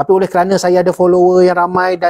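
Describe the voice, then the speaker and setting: A man talks at a fairly quick pace in a high pitch with a dark, mellow tone. The background is quiet. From Malaysia. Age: 50s. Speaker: former army jungle survival instructor; jungle lore host. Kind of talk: casual chat. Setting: livestream. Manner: calm. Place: home room. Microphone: lapel.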